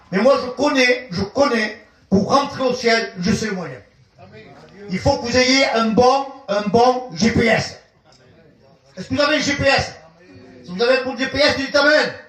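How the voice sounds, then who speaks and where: This man speaks in an extremely high pitch with an animated tone and ordinary pitch variation, recorded with noticeable background noise and audible room echo. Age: 70s. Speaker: visiting pastor. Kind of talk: sermon.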